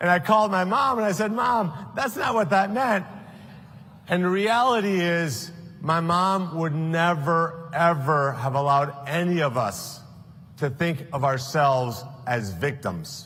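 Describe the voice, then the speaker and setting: A man talks at a fairly slow pace in a high, bright and sharp voice. Room echo can be heard around him. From South Florida, Colombian-born. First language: Spanish. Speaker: political candidate. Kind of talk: political speech.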